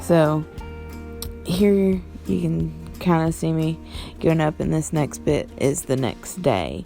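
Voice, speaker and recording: With music in the background, a woman with an American accent speaks at a very slow pace in a very deep, low pitch, making very wide pitch swings and taking long, frequent pauses. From West Virginia. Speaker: painter. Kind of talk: casual voice-over narration of painting video.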